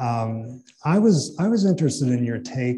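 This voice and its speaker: With an American accent, a man talks at a fairly slow pace in a dark, mellow tone. Light background noise sits behind him. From southeastern Illinois. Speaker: professor and author; professor. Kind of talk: interview. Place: hall.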